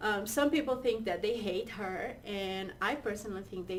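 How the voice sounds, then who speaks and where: A Portuguese accent at a moderate pace with ordinary pitch variation, with audible room echo and noticeable background noise. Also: woman. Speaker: co-host. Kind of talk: casual chat.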